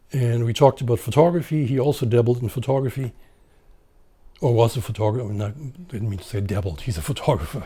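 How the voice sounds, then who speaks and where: A man with a dark, mellow tone and a somewhat breathy voice speaks at a fairly quick pace. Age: 60s. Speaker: photographer. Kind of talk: interview. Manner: halting.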